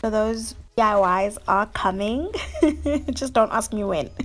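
At a medium tempo, a woman speaks with normal pitch movement. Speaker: lifestyle vlogger. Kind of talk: casual vlog chat. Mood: cheerful, upbeat. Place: kitchen. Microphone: phone near.

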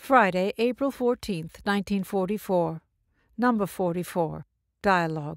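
In a normal speaking voice, a woman talks at a fairly slow pace with a medium pitch and ordinary pitch variation, on a very clean recording with a silent background and a dry, close sound with no echo. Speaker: audiobook narrator; stage performer. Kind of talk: audiobook reading of spiritual dialogues.

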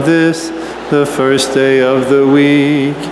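Over music in the background, a man speaks with monotone, flat intonation. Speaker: priest leading a liturgy. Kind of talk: liturgical prayer. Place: church. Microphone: podium.

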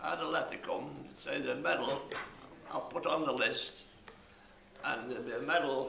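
Audible room echo and light background noise around a man's moderately paced voice. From Chesterfield, England. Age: 80s+. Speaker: war veteran. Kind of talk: interview answer. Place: home room.

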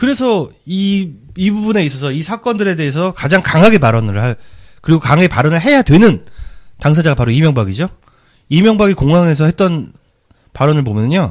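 This man's voice sits fairly high, with very wide pitch swings and an animated tone. He moves at a fairly quick pace but leaves long, frequent pauses. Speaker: podcast host. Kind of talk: political talk show discussion.

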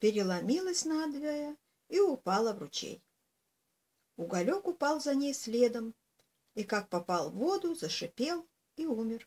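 A woman with a high, dark and mellow voice speaks fairly slowly, her pitch swinging very widely, with long, frequent pauses. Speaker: storyteller. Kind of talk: reading a fairy tale aloud. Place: home room. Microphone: webcam.

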